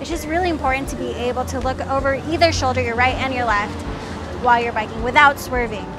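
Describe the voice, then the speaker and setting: Over clear background music, a woman talks at a very fast pace with ordinary pitch variation and a dry sound with no echo. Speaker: cycling vlogger. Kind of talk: casual vlog tutorial. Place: street. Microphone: lapel.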